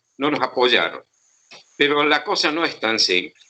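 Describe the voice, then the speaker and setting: Bright, sharp tone from a man at fairly high pitch, with lively intonation and a moderate pace. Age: 70s. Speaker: historian. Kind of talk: interview. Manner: halting.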